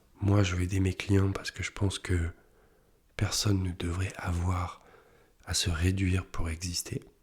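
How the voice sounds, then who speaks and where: In a very clean recording with a silent background, a man with a very deep, low pitch speaks at a fairly slow pace in a flat monotone, somewhat breathy, with long, frequent pauses. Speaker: business coach and content creator. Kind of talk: casual vlog monologue. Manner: halting, with fillers; whispering at times.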